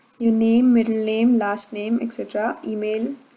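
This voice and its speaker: In a Marathi accent, a woman with a fairly high pitch speaks at a fairly slow pace with monotone, flat intonation. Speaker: tech tutorial YouTuber. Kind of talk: tutorial. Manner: hesitant with fillers.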